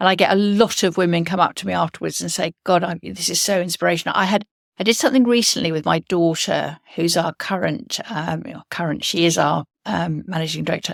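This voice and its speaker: The sound is dry and close with no echo. A woman with vocal fry speaks fairly quickly at a fairly low pitch with ordinary pitch variation. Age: 70s. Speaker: entrepreneur. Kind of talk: interview. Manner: halting.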